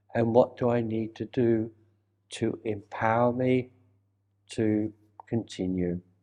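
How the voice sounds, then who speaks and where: Very slowly and with long, frequent pauses, a man at medium pitch speaks in a flat monotone with a dark, mellow tone. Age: 80s+. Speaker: reiki master and teacher. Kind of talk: interview answer.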